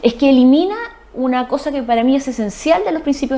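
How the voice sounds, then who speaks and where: High-pitched and fairly quick, a woman speaks over noticeable background noise. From Chile, Ancud (Chiloé). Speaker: lawyer. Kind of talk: TV interview.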